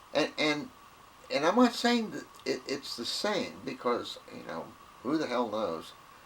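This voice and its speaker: Against noticeable background noise, a man with a Southern US accent speaks at a fairly slow pace with big swings in loudness. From US South. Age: 70s. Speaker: video blogger. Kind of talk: casual monologue. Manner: halting, repetitive.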